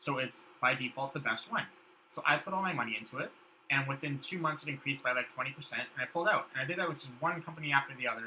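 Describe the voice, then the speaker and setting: Amid noticeable background noise, a man talks at a very fast pace, his fairly high pitch showing ordinary variation. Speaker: podcast guest. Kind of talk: casual chat.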